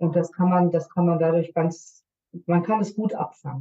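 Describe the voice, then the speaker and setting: A woman's fairly low, dark, mellow voice, somewhat breathy, at a moderate pace with monotone, flat intonation. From Germany. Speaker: nurse and intercultural coach. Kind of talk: podcast interview.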